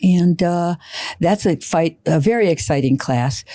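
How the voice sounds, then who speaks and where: This is a woman with a medium pitch. Her tone is dark and mellow. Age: 80s+. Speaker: community college instructor and guest. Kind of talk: podcast interview. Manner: halting.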